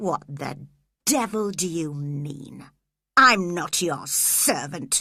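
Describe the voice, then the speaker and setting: A woman growls in a put-on character voice, pitched fairly low and moving at a very slow pace. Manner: growling, angry.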